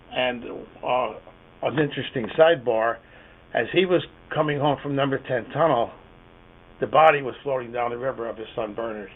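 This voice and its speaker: With an American accent, a man speaks using ordinary pitch variation against noticeable background noise. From northeastern Pennsylvania, Duryea. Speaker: retired teacher, local historian. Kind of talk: oral history interview. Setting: recorded interview. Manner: halting, with many fillers.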